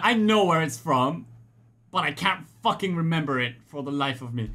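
A man is speaking. His tone comes across as bright and sharp.

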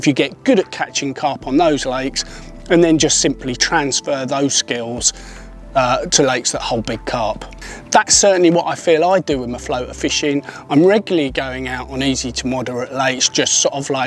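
A man talks at a moderate pace with ordinary pitch variation. The sound is dry with no echo, and faint music plays in the background. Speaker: presenter. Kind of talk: tutorial. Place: open country. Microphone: lapel.

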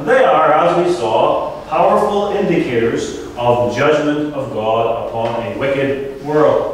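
A man speaks at a fairly slow pace over light background noise, with strong echo filling the room. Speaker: pastor. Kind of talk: sermon. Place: hall.

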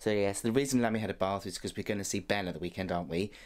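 This man has a very deep, low voice. He talks at a fairly quick pace with fairly even intonation. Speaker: vlogger. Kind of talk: casual vlog chat. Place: home room. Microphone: phone near.

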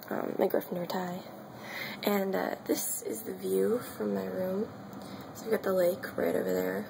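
Whispering at a fairly slow pace, a woman leaves long, frequent pauses amid noticeable background noise. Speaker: college student. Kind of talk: casual vlog apartment tour. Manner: whispered. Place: home room. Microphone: phone near.

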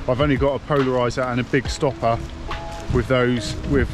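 A man speaks at a moderate pace with monotone, flat intonation. Clear music plays in the background, and the sound is dry with no echo. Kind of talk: casual vlog chat. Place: forest. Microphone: phone near.

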